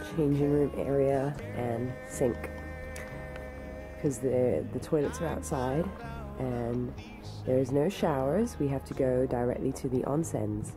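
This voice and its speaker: Clear music sits in the background. A woman speaks at a fairly slow pace with long, frequent pauses. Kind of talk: casual vlog chat. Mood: cheerful, excited. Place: home room. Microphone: phone near.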